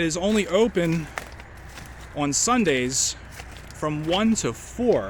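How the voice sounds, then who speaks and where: A man speaks at a high pitch with lively intonation. Noticeable background noise is present. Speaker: railfan video blogger. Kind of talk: casual walking vlog commentary. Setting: outdoors by railroad tracks. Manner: quiet.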